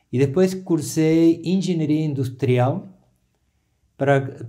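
Speaking very slowly with a Spanish accent, a man has a dark, mellow tone and ordinary pitch variation over a quiet background. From Argentina. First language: Spanish (speaking Portuguese). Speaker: therapist; interview guest. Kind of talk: interview. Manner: hesitant. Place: studio.

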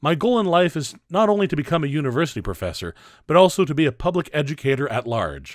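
Over a quiet background, a man with a Canadian accent talks very fast in a fairly high pitch with lively intonation and a dry sound with no echo. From Northern Ontario, Canada; Ontario, Canada. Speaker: PhD student in history. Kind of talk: fundraising appeal. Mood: earnest, slightly humble.

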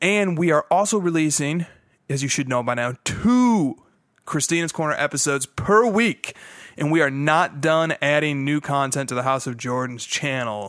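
A man speaks with lively intonation in a dry sound with no echo, against a quiet background. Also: moderate pace. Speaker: podcast host. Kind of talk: podcast announcement. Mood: upbeat, a bit playful. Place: home room. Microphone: studio mic.

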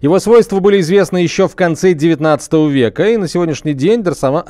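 A man delivers his words at a medium pace, with little sound behind him. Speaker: radio host. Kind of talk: live radio hosting. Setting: radio studio. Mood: casual, slightly ironic. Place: studio. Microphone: studio mic.

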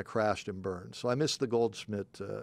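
A man is heard in a dry recording with no echo. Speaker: sports show host. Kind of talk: sports talk show. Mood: relaxed, self-deprecating. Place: studio. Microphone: studio mic.

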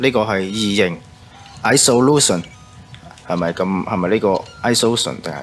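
Against background music, a man speaks at a fairly low pitch with big swings in loudness. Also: ordinary pitch variation. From Guangzhou, China. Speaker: game streamer. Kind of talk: casual game commentary.

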